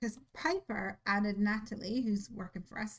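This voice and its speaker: The voice is somewhat breathy, with ordinary pitch variation. It moves at a fairly slow pace. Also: woman. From Northern Ireland. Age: 20s. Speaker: craft video host. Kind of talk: casual chat during live craft stream.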